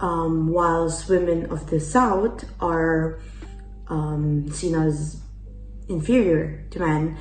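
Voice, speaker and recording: Music plays in the background as a woman speaks with fairly even intonation at a fairly low pitch, her voice carrying an audible room echo. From Italy. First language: Italian. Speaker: exchange student. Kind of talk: interview answers. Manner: hesitant, many fillers.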